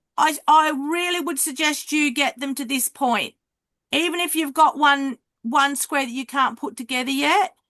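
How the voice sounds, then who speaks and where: In an Australian accent, a woman projects a raised voice with a high pitch, a bright, sharp tone and fairly even intonation at a moderate pace, in a dry, close sound with no echo. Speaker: card making teacher. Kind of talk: online craft class. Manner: loud.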